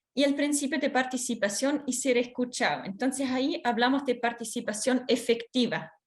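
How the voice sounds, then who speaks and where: Speaking at a moderate pace with hardly any pauses, a woman with a Swiss accent uses a high voice with ordinary pitch variation and very even loudness. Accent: foreign accent, Swiss. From Switzerland. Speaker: workshop speaker on children's rights. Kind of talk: training lecture. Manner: hesitant, many fillers.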